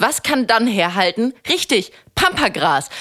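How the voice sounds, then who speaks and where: A woman with a bright, sharp tone speaks at a fairly high pitch. Her pace is fairly slow, with very wide pitch swings. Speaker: podcast co-host. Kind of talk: casual chat. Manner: loud.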